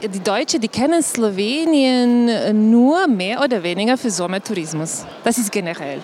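With a Slovenian accent, a woman speaks at a fairly high pitch with very wide pitch swings and hardly any pauses, over noticeable background noise. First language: Slovenian (speaking German). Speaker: tourism board director. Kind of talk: live panel talk. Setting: trade fair stage with audience. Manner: halting, many fillers.

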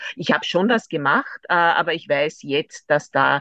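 The speech moves at a fairly slow pace. The background is quiet, and the sound is dry and close with no echo. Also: woman. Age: 50s. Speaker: lawyer, amateur runner. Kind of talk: interview. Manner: hesitant, many fillers.

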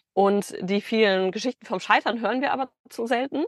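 At a very fast pace, a woman with a fairly high pitch and lively intonation comes through with a dry, close sound, no echo and a quiet background. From Germany, Bielefeld. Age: 30s. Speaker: business consultant. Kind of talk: podcast interview. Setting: video call from a van.

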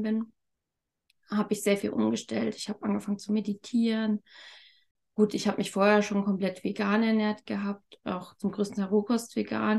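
A woman of medium pitch speaks at a moderate pace in a somewhat breathy voice with monotone, flat intonation. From Thuringia, eastern Germany. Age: 30s. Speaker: communication method practitioner. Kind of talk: interview.

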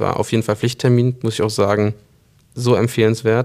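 A man talks at a moderate pace with medium pitch and ordinary pitch variation. He has an ordinary speaking voice. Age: 20s. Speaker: company co-CEO. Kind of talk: interview conversation.

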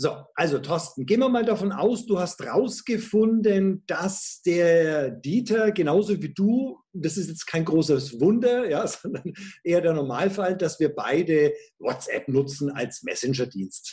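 This man's voice is high-pitched with a dark, mellow tone, moving at a fairly slow pace with lively intonation. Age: 50s. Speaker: sales coach and trainer. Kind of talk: interview. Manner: animated.

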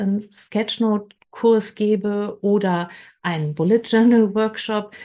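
Against a quiet background, a woman talks very slowly in a fairly high pitch. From western Germany, Bergisches Land. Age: 50s. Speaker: creative coach. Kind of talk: interview.

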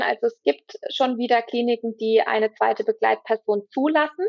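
In an ordinary speaking voice, a woman talks at a moderate pace with a fairly high pitch and lively intonation. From southern Baden, Germany. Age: 20s. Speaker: trainee doula. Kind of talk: interview.

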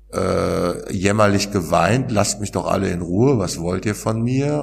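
Amid noticeable background noise and audible room echo, a man talks at a fairly slow pace with fairly low pitch. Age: 40s. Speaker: author and peer recovery worker. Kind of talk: interview about personal experience. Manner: hesitant, many fillers.

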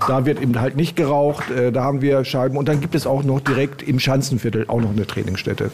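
Noticeable background noise behind a male voice, fairly high in pitch, with fairly even intonation. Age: 60s. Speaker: amateur darts player. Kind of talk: interview.

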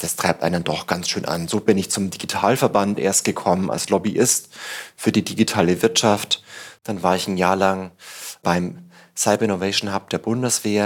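A man speaks with an unremarkable speaking voice, a fairly low pitch, fairly even intonation, and a moderate pace on a very clean recording with a silent background. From Bavaria, Upper Palatinate (Tirschenreuth). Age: 30s. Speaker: startup evangelist and author. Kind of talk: interview conversation. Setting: on location at a Berlin office.

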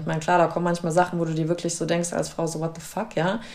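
A woman talks at a very fast pace. Her pitch is fairly low, with noticeable background noise behind her. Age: 30s. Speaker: podcast host and actress. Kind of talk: casual interview. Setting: her living room.

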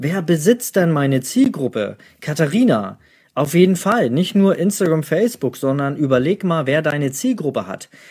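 On a very clean recording with a silent background, a man's fairly high voice ranges through very wide pitch swings. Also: moderate pace. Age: 30s. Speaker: newborn photographer and podcast host. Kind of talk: live Q&A session. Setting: livestream in home office.

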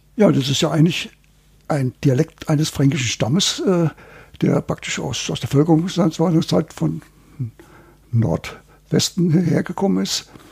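A man with a fairly high voice and vocal fry talks at a fairly slow pace, leaving long, frequent pauses, his pitch varying an ordinary amount. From Hesse, Germany. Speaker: dialect researcher. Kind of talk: interview.

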